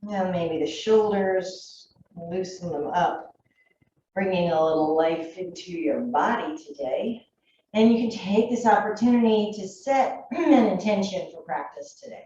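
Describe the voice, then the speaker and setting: A woman speaks fairly slowly at a medium pitch, with a calm, soothing tone that is somewhat breathy. Her intonation is lively, and her loudness swings widely. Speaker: yoga teacher. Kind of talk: guided yoga class.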